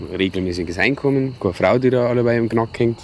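A man talks at a fairly quick pace with lively intonation. The sound is dry with no echo, over light background noise. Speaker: comedy sketch actor. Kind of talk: scripted short film dialogue. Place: open country.

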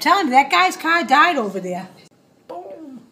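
In a Boston accent, a woman sounds excited. Light background noise runs underneath. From Massachusetts, Boston area. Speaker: mother of the uploader. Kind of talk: casual live commentary. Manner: excited, exclamatory. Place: home room. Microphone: phone near.

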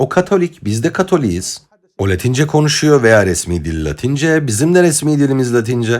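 Very wide pitch swings mark a man's medium-pitched voice. His pace is moderate. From Egypt. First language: Arabic (speaking Turkish). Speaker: political commentator. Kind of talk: lecture. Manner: formal.

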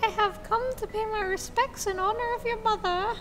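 Over loud background noise, a put-on character voice talks at a moderate pace in an extremely high pitch. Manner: solemn, mock-formal.

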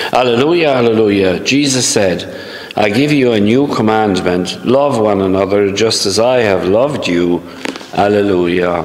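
Here a man talks at a fairly low pitch with ordinary pitch variation. He keeps a fairly slow pace. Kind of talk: homily and scripture reading. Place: church. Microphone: camera far.

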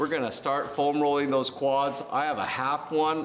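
With faint music in the background, a man speaks at a moderate pace. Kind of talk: tutorial. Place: gym.

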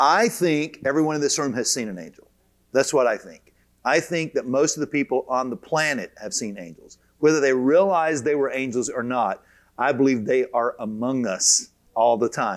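A man at a moderate pace, with lively intonation and big swings in loudness, against a quiet background. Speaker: teacher of a Bible course. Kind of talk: lecture. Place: hall. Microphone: lapel.

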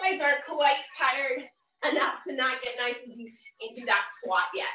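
A woman's raised, projected voice carries with audible room echo. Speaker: fitness instructor. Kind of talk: workout instruction. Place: gym. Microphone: video call.

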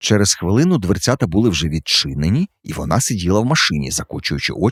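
Someone reads in an unforced reading voice.

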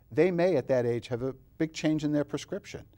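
A man's dark, mellow voice at a fairly quick pace, with lively intonation. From New York, Long Island; New York. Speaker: optometrist; guest. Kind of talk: interview. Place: studio. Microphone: lapel.

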